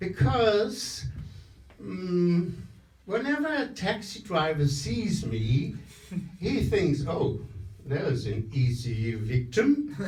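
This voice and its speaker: A fairly high-pitched man's voice with very wide pitch swings, a very slow pace, long and frequent pauses, and audible room echo. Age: 70s. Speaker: stand-up comedian. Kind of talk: stand-up. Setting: stage with audience. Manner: halting, many fillers.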